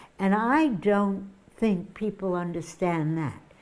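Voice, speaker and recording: A woman with an American accent speaks in a dark, mellow tone with lively intonation. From US Northeast, Boston. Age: 80s+. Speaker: comedian. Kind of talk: interview.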